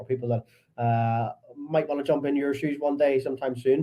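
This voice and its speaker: A somewhat breathy man with a strong Belfast accent speaks at a medium pitch with ordinary pitch variation. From Northern Ireland, Belfast. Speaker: podcast host. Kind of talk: podcast interview.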